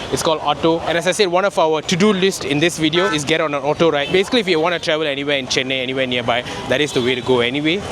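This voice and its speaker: A man with a Tamil accent talks at a very fast pace, his pitch fairly high with ordinary variation. Noticeable background noise runs behind him. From Malaysia. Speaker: travel vlogger. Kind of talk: travel vlog narration. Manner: casual.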